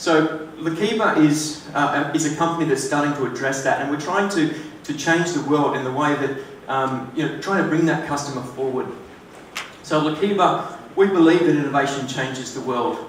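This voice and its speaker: A man with an Australian accent and a fairly high pitch speaks at a moderate pace with fairly even intonation, amid audible room echo and noticeable background noise. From Australia, Sydney. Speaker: tech startup co-founder. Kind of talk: conference presentation. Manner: hesitant, many fillers.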